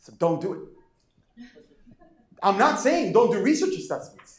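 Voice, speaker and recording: A man's high-pitched voice with very wide pitch swings, plus audible room echo. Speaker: professor. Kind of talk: lecture. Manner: fast; animated.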